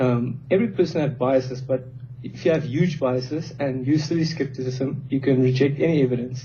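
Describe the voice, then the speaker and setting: At a fairly quick pace, a man speaks with a non-native accent. His pitch is medium and his intonation fairly even. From South Africa. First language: not English. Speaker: industrial engineer, debater. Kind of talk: informal debate.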